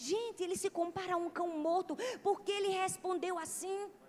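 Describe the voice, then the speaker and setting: A woman speaks with a strong northeastern Brazilian accent amid noticeable background noise. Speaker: pastor. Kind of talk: sermon.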